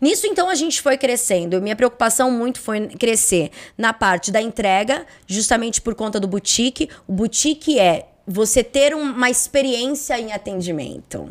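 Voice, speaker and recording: A woman with an unremarkable speaking voice, fairly high in pitch, with lively intonation, a moderate pace and hardly any pauses. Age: 30s. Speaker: insurance brokerage CEO. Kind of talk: interview conversation.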